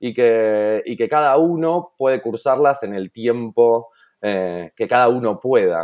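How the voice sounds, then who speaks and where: The recording is very clean, with a silent background. In it, a man talks very slowly with lively intonation. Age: 30s. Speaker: entrepreneur. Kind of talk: interview. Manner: halting.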